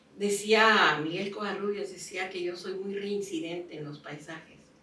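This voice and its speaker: A woman at medium pitch with ordinary pitch variation speaks over noticeable background noise, with audible room echo. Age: 80s+. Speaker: painter. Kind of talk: interview. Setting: home studio.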